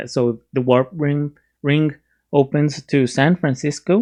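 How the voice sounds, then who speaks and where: The speaker uses a Spanish accent and talks at a fairly slow pace. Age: 30s. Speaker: YouTube movie reviewer. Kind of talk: casual movie review. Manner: halting, many fillers and restarts.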